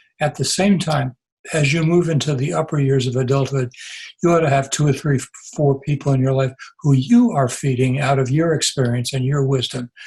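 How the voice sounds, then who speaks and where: Fairly quick and somewhat breathy, a man's fairly high voice holds fairly even intonation. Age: 80s+. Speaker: retired pastor and author. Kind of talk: interview conversation. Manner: halting, with repetitions.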